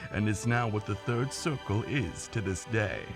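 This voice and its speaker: A man's cartoonish character voice at a medium pitch and moderate pace, with clear background noise. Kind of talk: animated story narration. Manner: theatrical, storytelling.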